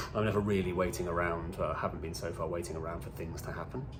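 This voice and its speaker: A man's very deep, low voice with a British accent and audible room echo. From UK. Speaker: video blogger, cancer patient. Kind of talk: casual vlog monologue. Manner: casual, chatty.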